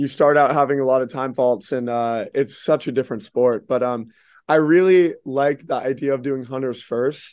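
A man with an American accent talks at a moderate pace and medium pitch. His intonation is fairly even, and the background is quiet. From Dallas, Texas. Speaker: show jumping rider and trainer. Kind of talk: casual interview. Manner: hesitant, many fillers.

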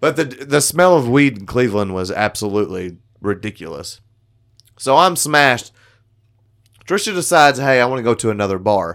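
At a fairly quick pace broken by long, frequent pauses, the voice moves through very wide pitch swings in a very clean recording with a silent background. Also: man, medium pitch for a man. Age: 30s. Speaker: podcast co-host. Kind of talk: casual chat.

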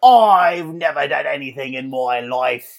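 A put-on character voice at a low-to-middle pitch and a fairly slow pace. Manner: indignant, protesting.

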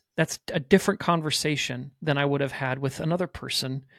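A man in a normal speaking voice, fairly high in pitch with ordinary pitch variation, talks at a fairly quick pace in a dry, close sound with no echo on a very clean recording with a silent background. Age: 40s. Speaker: pastor. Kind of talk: casual chat.

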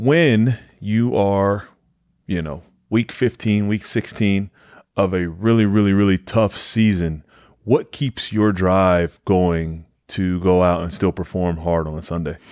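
With an American accent, a man talks at a very slow pace in a fairly low voice, his pitch varying in an ordinary way over a quiet background. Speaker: podcast host. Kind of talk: casual interview.

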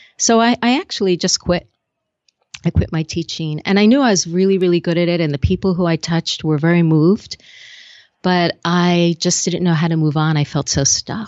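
A woman with an unremarkable speaking voice and an American accent, fairly low in pitch, at a moderate pace with ordinary pitch variation. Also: very even loudness. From US Northeast. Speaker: speaking coach and TV host. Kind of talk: casual interview chat. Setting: video call.

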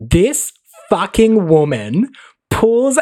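A man with an Australian accent and an animated tone. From Australia, Mildura, Victoria. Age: 20s. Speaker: guest. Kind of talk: casual chat.

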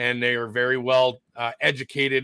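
In a dry, close recording with no echo, a man speaks at a moderate pace and a medium pitch with a bright, sharp tone. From Canada. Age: 40s. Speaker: protest organizer. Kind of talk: interview.

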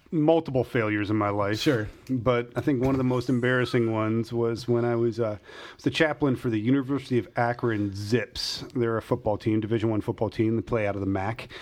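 A man has a normal speaking voice at medium pitch against a quiet background. His pace is fairly quick and his intonation fairly even. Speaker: pastor podcast host. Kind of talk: casual chat.

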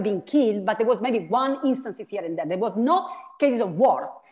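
Speaking with an Italian accent, a woman uses lively intonation at a fairly high pitch. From Italy. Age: 40s. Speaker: philosophy professor. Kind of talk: interview.

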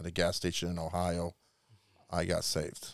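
At a moderate pace and a very deep, low pitch, a man with a Chicago accent speaks on a very clean recording with a silent background. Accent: Chicago-area American. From Chicago suburbs, Illinois. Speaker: missionary. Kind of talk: interview, personal testimony. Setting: studio.

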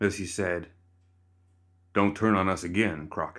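A put-on character voice from a man, gruff and very deep in pitch, at a moderate pace with fairly even intonation, in a very clean recording with a silent background. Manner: commanding.

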